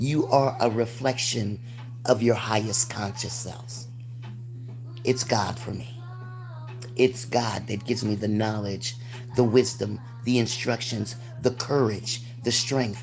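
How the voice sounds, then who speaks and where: Noticeable background noise sits behind a woman with a very deep, low pitch. She talks at a fairly slow pace with monotone, flat intonation and long, frequent pauses. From United States. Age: 60s. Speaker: spiritual livestreamer. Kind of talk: livestream monologue. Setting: livestream.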